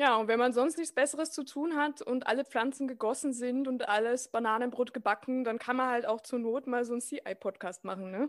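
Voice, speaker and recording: High pitch from a woman at a fairly quick pace, hardly any pauses and ordinary pitch variation, in a very clean recording with a silent background. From Austria. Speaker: podcast host. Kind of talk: interview.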